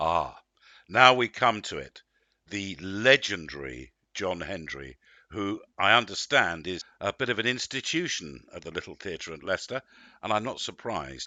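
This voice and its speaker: With vocal fry and very wide pitch swings, a man speaks at a fairly low pitch. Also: moderate pace. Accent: English. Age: 60s. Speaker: actor. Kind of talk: interview.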